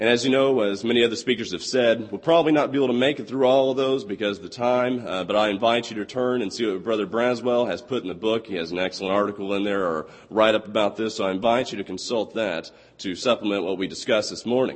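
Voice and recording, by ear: A man talks at a fast pace with few pauses. His pitch is fairly low, with ordinary variation.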